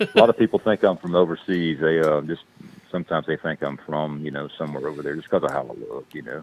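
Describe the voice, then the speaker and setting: In a Southern US accent, the speaker talks at a very fast pace with fairly even intonation and big swings in loudness. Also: man, very deep, low pitch for a man. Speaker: actor and construction business owner. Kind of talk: casual chat. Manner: halting.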